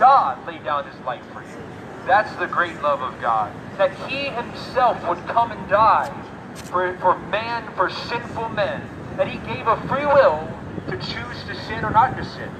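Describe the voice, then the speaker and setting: Noticeable background noise sits under a man who speaks fairly slowly, his loudness swinging widely. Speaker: street preacher. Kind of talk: sermon. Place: street. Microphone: camera far.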